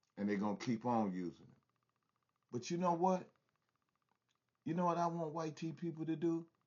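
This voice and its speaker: A fairly high-pitched man speaking fairly quickly, lively in intonation, with big swings in loudness and long, frequent pauses. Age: 60s. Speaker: commentary vlogger. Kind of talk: casual commentary monologue. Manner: animated.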